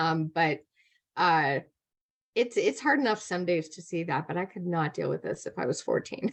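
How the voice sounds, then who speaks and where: A woman with an unremarkable speaking voice talks at a moderate pace and a fairly low pitch. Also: lively intonation. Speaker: comedian. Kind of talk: casual chat.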